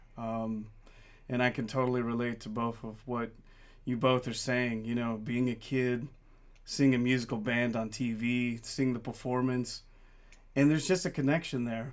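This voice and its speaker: At a moderate pace, a man with an ordinary speaking voice talks at medium pitch with fairly even intonation. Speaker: podcast host. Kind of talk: interview conversation.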